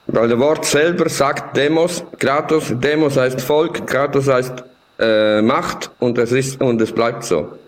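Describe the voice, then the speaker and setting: With an Italian accent, a man speaks at a very slow pace with a medium pitch, ordinary pitch variation and very even loudness, over noticeable background noise. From Italy. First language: Italian (speaking German). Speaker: tech platform developer. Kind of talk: discussion. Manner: halting.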